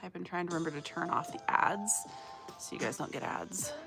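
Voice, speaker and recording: Music runs in the background. Over it, a woman talks at a fairly quick pace. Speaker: crochet livestreamer. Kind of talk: casual livestream chat.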